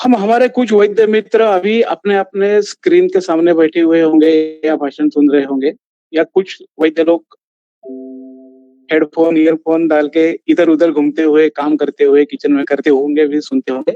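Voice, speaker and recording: A man with a Marathi accent has a high pitch, ordinary pitch variation, a dark, mellow tone and very even loudness, in a dry, close sound with no echo. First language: Marathi (speaking Hindi). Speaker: ayurvedic physician, lecturer. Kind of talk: online lecture. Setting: live online video session.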